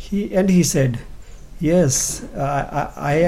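With audible room echo, a man speaks at a fairly high pitch and ordinary pitch variation. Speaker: pastor and evangelist. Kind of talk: testimony.

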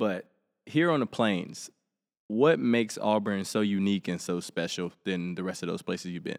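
A man speaks in an Alabama accent with a fairly low pitch and lively intonation. The recording is very clean, with a silent background. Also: moderate pace. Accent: Southern US (Alabama). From Helena, Alabama, US South. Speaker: podcast host, college athlete. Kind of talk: casual interview.

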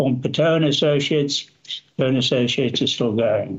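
A man talks at a fairly high pitch, his voice somewhat breathy. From Zambia (raised in Northern Rhodesia), born in South Africa. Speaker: mining engineering consultant. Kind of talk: interview.

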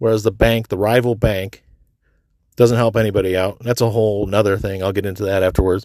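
Recorded very cleanly against a silent background, a man talks in a monotone, flat intonation at a fairly low pitch. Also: fairly quick pace. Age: 40s. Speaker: solo podcaster. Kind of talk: casual monologue. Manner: casual, filler-heavy.

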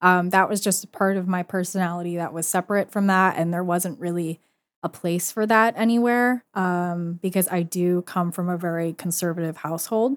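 Here is a plain, everyday voice with fairly even intonation at a moderate pace and hardly any pauses. The sound is dry and close with no echo, in a very clean recording with a silent background. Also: woman, fairly low pitch for a woman. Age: 20s. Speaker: photographer and art student. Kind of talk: casual interview. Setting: library room.

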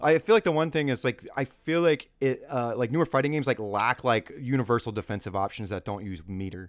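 A man with an American accent speaks in an unremarkable speaking voice at a fairly quick pace, his intonation lively, on a very clean recording with a silent background and a dry, close sound with no echo. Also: medium pitch for a man. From California. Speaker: podcast host. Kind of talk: casual chat.

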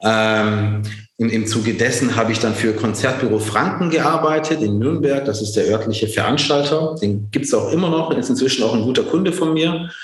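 Amid audible room echo and noticeable background noise, a man speaks at a moderate pace and medium pitch, with lively intonation and very even loudness. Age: 40s. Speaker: entrepreneur. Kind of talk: interview. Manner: many fillers and restarts.

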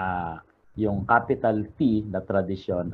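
A man speaks at a fairly low pitch. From Philippines, Cainta Rizal. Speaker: religious devotions author and researcher. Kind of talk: interview.

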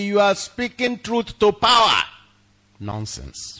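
A man with a high pitch raises and projects his voice in a bright, sharp tone. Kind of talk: sermon.

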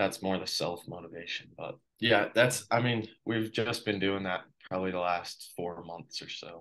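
A man with an American accent and a normal speaking voice talks at a moderate pace, his fairly low voice keeping fairly even intonation. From Colorado, US. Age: 20s. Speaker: professional cyclist. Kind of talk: interview. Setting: video call.

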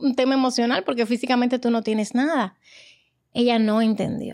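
The recording is very clean with a silent background as a woman with a high voice speaks at a fairly quick pace. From Dominican Republic. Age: 40s. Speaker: guest, emigrant mother. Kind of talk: casual chat.

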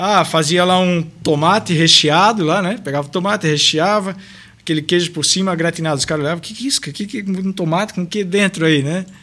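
A man's bright, sharp, high-pitched voice at a fairly quick pace. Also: ordinary pitch variation. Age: 30s. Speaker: restaurant owner. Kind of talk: casual interview.

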